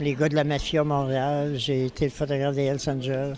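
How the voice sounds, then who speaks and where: Crowd noise fills the background as a man talks. His pitch is fairly high and his pace moderate. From Quebec City, Quebec. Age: 80s+. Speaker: photographer. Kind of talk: interview. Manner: halting.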